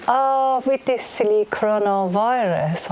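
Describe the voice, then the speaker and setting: Noticeable background noise runs under a woman's voice. She talks in a fairly high pitch at a very slow pace. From Iran. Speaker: blind singer. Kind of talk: spoken introduction before a concert. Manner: halting, many fillers.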